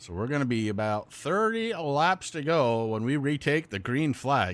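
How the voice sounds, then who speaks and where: A fairly high-pitched man with a Vermont accent and very wide pitch swings, on a very clean recording with a silent background. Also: moderate pace. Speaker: sim racing commentator. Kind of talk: live commentary.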